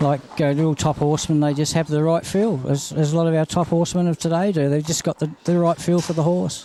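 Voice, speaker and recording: With an Australian accent, a man speaks very fast with hardly any pauses, in a dark, mellow tone at a fairly high pitch, keeping his loudness very even and his intonation fairly even. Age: 60s. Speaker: harness racing trainer and driver. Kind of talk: interview.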